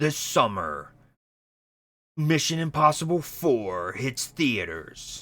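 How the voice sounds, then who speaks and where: A man performs in a put-on character voice. He goes at a very slow pace, with long, frequent pauses. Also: fairly high pitch for a man. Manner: dramatic.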